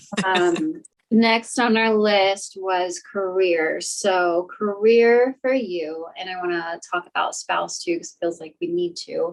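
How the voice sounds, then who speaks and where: A woman at medium pitch talks at a very slow pace with hardly any pauses and big swings in loudness. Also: ordinary pitch variation. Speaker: intuitive medium. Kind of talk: psychic reading session.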